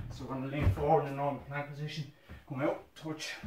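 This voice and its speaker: The delivery is fairly brisk. Background noise is clearly audible. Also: man. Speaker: fitness instructor. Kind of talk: guided workout instruction. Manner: energetic, brisk countdown-driven coaching with short commands; encouraging, motivating. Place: home room.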